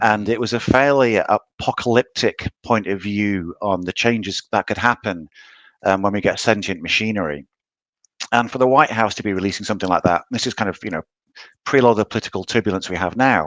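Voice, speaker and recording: This man speaks fairly quickly at a fairly low pitch, with ordinary variation in it. The sound is dry and close, with no echo. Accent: British. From UK. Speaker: novelist. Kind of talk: interview.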